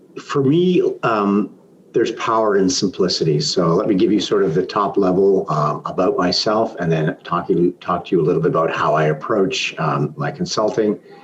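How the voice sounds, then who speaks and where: With a Canadian accent, a man talks at a fairly low pitch with hardly any pauses and very even loudness over noticeable background noise. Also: lively intonation, moderate pace. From Canada, Toronto. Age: 60s. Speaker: business consultant and mentor. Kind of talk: interview.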